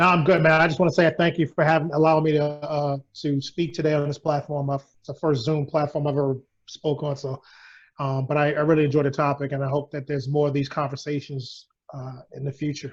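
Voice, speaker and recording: Over a quiet background, a man with a New York accent talks very fast in a somewhat breathy, fairly high voice with flat, monotone intonation. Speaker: federal training sergeant. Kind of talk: casual chat. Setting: video call.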